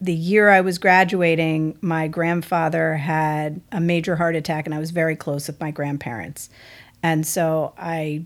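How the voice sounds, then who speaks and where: A woman with an American accent speaks in a monotone, flat intonation. Her recording is very clean, with a silent background. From US South, Texas (outside Houston). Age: 40s. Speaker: family lawyer and musician. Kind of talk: casual interview chat.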